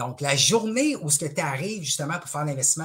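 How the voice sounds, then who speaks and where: A man with lively intonation over a quiet background. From Quebec. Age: 40s. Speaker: stock market trainer and speaker; interview guest, trading trainer. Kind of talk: casual interview. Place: home room. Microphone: headset.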